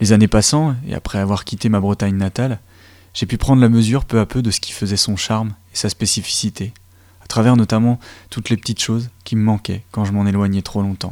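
Dry and close with no echo, this very clean recording has a silent background. A man with an unremarkable speaking voice talks at a fairly quick pace and a fairly low pitch, with fairly even intonation. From Côtes-d'Armor, Brittany. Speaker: community radio host. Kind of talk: radio show hosting.

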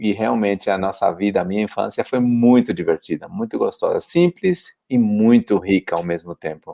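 The sound is dry and close with no echo. A man talks at a moderate pace with hardly any pauses. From São Paulo, east side (Poá). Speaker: pilgrim hostel volunteer on the Camino. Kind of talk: casual interview chat.

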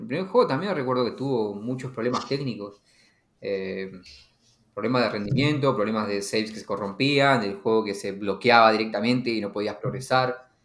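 A man's voice in audible room echo. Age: 30s. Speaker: podcast host. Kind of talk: casual chat. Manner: halting, many repetitions.

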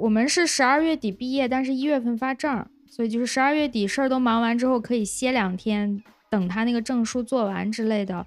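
Her pitch is high. The woman's pitch variation stays ordinary. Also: fairly quick pace. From Lanzhou, northwest China. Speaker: podcast host. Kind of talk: casual interview chat. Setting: remote online recording.

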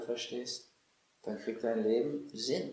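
Audible room echo surrounds a man's voice. He speaks at a medium pitch and a very slow pace. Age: 60s. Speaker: physician and author. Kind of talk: interview. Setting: at his home estate.

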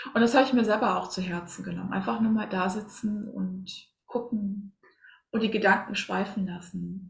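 A woman at a moderate pace with ordinary pitch variation, music in the background. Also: medium pitch for a woman. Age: 40s. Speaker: spiritual coach and medium. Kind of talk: casual interview.

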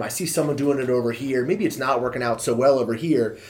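A man with an American accent talks at a very fast pace and a fairly high pitch with ordinary pitch variation. Noticeable background noise sits behind him. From Maryland, US (Montgomery County). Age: 30s. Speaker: personal trainer. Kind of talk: casual chat.

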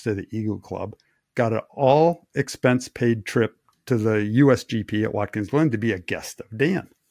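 At a fairly slow pace, a man talks in an ordinary speaking voice of medium pitch with ordinary variation. The sound is dry and close with no echo, on a very clean recording with a silent background. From Wisconsin. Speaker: race engineer. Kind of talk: casual chat.

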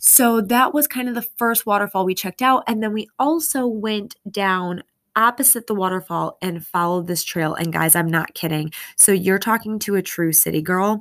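A medium-pitched woman's voice, animated and lively in intonation, at a moderate pace in a very clean recording with a silent background. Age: 30s. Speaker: fitness podcast host. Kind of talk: casual solo monologue.

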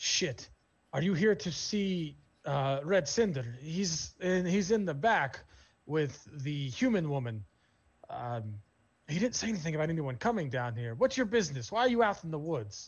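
A man uses a put-on character voice at a fairly high pitch. He keeps a moderate pace with long, frequent pauses. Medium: actual play. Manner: blunt, profane.

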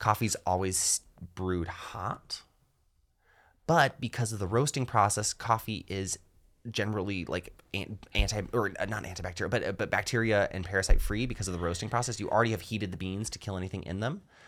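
In a very clean recording with a silent background, a man talks at a fairly quick pace and a fairly low pitch with ordinary pitch variation, in an unremarkable speaking voice. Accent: American. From US South, rural North Georgia. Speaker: stand-up comedian. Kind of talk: casual chat.

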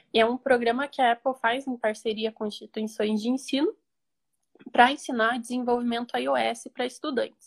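A woman speaks with a high pitch and fairly even intonation at a moderate pace. The sound is dry and close, with no echo. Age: 20s. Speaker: computer engineering student. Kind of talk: interview. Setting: Instagram live.

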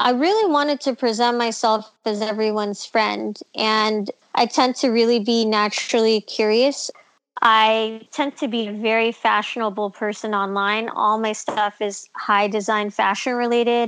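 In a plain, everyday voice with an American accent, a woman talks at a moderate pace, her fairly high pitch carried on fairly even intonation. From Los Angeles, California. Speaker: podcast co-host. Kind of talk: casual chat.

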